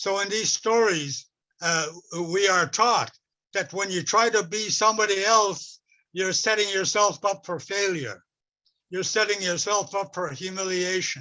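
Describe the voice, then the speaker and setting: A man projects his voice at a high pitch, with a bright, sharp tone. He speaks fairly slowly with fairly even intonation. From west coast of Vancouver Island, Canada. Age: 80s+. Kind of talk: talk with storytelling. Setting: webinar. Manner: halting, with repetitions.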